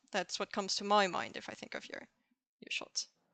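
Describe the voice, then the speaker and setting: A woman's bright, sharp tone with a non-native accent against a quiet background. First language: not English. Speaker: co-host of a photography live show. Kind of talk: casual chat.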